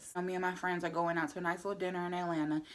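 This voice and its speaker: Loud and animated, a woman speaks at a fairly low pitch in a bright, sharp tone. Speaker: vlogger. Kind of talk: casual vlog monologue.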